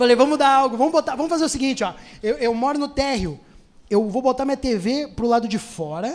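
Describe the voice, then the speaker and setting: This man speaks at a fairly quick pace with lively intonation. His pitch is extremely high. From Rio Grande do Sul, Brazil. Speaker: stand-up comedian. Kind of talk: stand-up comedy set. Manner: casual, fast.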